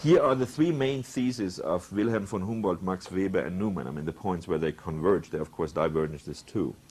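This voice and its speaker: A man with a German accent, very deep and low in pitch, lively intonation, a fairly quick pace and hardly any pauses. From Germany. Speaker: professor. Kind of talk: lecture.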